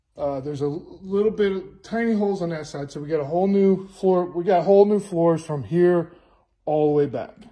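Over a quiet background, a man with a high pitch and a dark, mellow tone talks at a fairly quick pace with ordinary pitch variation. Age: 50s. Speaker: car restorer. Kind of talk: walkthrough video tutorial; casual vlog walkthrough. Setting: home workshop. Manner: casual, with many fillers. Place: garage. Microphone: phone near.

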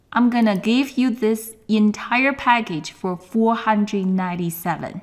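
The woman's voice is somewhat breathy and fairly high. She talks at a very slow pace. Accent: Chinese. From China. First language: Chinese. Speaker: sourcing coach and course instructor. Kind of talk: webinar presentation and sales pitch. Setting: online webinar, camera off. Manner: enthusiastic.

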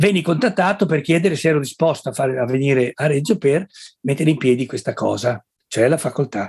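At a fairly quick pace, a somewhat breathy voice holds very even loudness over a quiet background. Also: man, fairly high pitch for a man. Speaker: retired social psychology professor; guest professor of social psychology. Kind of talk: interview. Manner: soft-spoken; halting.

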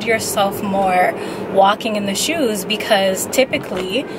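A woman at a fairly slow pace with ordinary pitch variation, dry sound with no echo, and music in the background. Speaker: vlogger. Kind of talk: casual vlog chat. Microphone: phone near.

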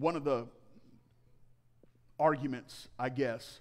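A man speaks slowly at medium pitch. His intonation stays fairly even.

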